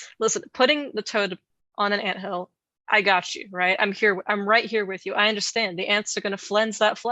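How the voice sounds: The speaker uses a natural reading voice with fairly even intonation. The background is quiet.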